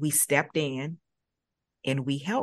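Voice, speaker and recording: A woman's very deep, low voice in a flat monotone over a quiet background. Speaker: early learning nonprofit director. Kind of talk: podcast conversation.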